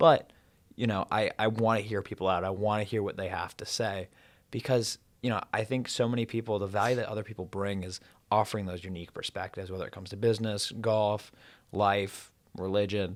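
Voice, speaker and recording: A man's fairly low, plain, everyday voice at a fairly quick pace with fairly even intonation, on a very clean recording with a silent background. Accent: American. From US South, Atlanta Georgia. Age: 20s. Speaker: university student and entrepreneur. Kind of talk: casual interview chat.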